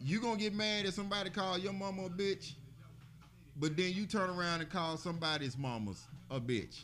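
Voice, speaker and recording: Speaking in an Alabama accent, a man with a high voice and a bright, sharp tone talks at a fairly quick pace. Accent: US South (Alabama). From Birmingham, Alabama. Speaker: podcast co-host. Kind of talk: casual chat. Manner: animated.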